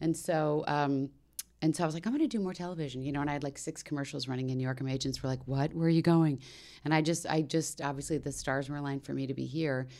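A woman with an American accent and a very deep, low pitch, a very fast pace, a very clean recording with a silent background. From Maryland, Washington DC area, US. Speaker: voice actor and actress. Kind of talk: casual podcast interview chat. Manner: animated, talkative, laughs often.

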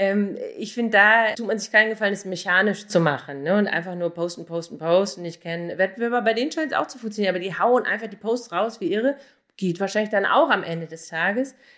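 Pitch varies in an ordinary way as a woman talks at a very fast pace. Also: medium pitch for a woman. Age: 40s. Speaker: online marketer and blogger. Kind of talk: interview answers.

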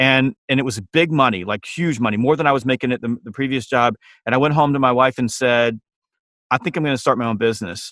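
With a Southern US accent, a man speaks very fast at a medium pitch with ordinary pitch variation. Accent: Southern American. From US South, Georgia. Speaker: sales trainer and author. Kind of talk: interview.

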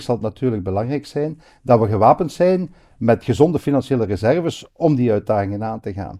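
Over a quiet background, a man with a dark, mellow tone speaks at medium pitch and a moderate pace with lively intonation. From Belgium, Hasselt (Limburg). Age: 50s. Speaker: politician. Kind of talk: interview.

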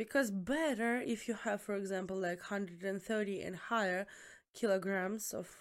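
A woman with a strong Eastern European accent speaks at a medium pitch with ordinary pitch variation on a very clean recording with a silent background. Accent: thick Eastern European. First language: Eastern European language, not English. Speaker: student nurse. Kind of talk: casual chat.

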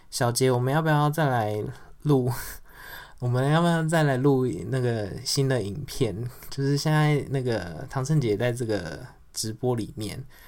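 Audible room echo surrounds a man speaking at a medium pitch and a fairly slow pace, with ordinary pitch variation and long, frequent pauses. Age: 30s. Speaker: podcast host. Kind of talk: casual livestream chat.

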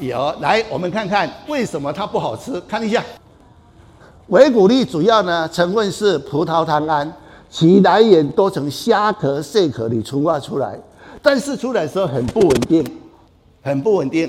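Speaking at a fairly slow pace, a man with a high voice sounds animated, his pitch swinging very widely. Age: 70s. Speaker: traditional Chinese medicine doctor. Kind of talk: health talk.

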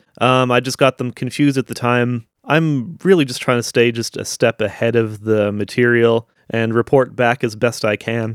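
A man with a Canadian Prairie accent at a medium pitch and moderate pace, fairly even intonation, hardly any pauses, in a dry, close sound with no echo. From southern Manitoba, Canada. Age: 40s. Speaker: podcaster. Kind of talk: solo commentary podcast. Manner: hesitant, many fillers.

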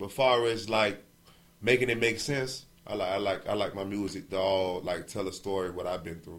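Fairly low in pitch, a man speaks at a fairly quick pace with ordinary pitch variation. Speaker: rapper. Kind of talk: interview. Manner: casual, filler-heavy.

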